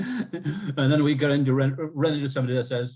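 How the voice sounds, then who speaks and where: Recorded very cleanly with a silent background, a man speaks at medium pitch with ordinary variation, somewhat breathy. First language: Cree. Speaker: professor. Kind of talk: interview.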